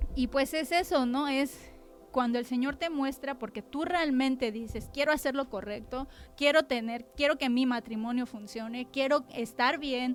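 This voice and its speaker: Music plays in the background. The speaker goes at a fairly slow pace with fairly even intonation. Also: woman, high pitch for a woman. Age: 30s. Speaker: church member giving testimony. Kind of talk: testimony. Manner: blunt, forceful.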